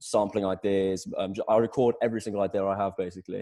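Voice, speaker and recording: A man with an East Midlands accent talks at a very fast pace in a fairly low, dark, mellow voice. His intonation is flat and monotone, set against a quiet background. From England, Lincolnshire (Sleaford). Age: 20s. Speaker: singer-songwriter. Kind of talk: interview. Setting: video call. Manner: halting, many fillers.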